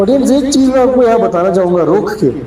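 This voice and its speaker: Through audible room echo and noticeable background noise, a woman talks with lively intonation. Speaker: podcast host. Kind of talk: interview.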